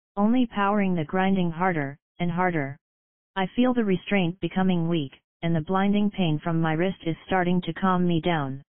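A woman with an ordinary speaking voice talks at a moderate pace, her pitch fairly low with ordinary variation. Her loudness stays very even. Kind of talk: scripted horror narration, first-person creepypasta read aloud.

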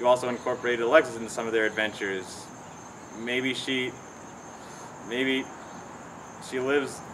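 Noticeable background noise sits behind a man who talks fairly quickly in a flat, monotone way. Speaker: cartoon commentary vlogger. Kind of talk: commentary. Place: garden.

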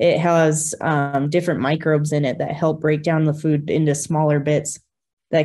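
This woman's voice sits very deep and low. Her pitch is very low for a woman. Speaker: presenter. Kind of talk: lecture. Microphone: webcam.

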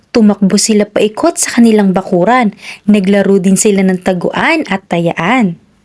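In a normal speaking voice, a woman talks at a medium pitch. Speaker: children's storyteller. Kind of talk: reading aloud.

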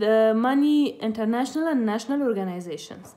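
A woman with an Afghan accent at a moderate pace, against a quiet background. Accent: Afghan (Pashto) English. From Afghanistan, Khost province. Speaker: youth advocate. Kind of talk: personal introduction speech. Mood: earnest, hopeful. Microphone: phone near.

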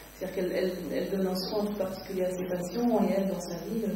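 Light background noise and audible room echo are both present in the recording. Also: woman. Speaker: novelist. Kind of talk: author interview. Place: shop.

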